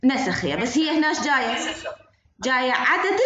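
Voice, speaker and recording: A woman with an Iraqi accent. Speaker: university lecturer. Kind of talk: online lecture. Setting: video call.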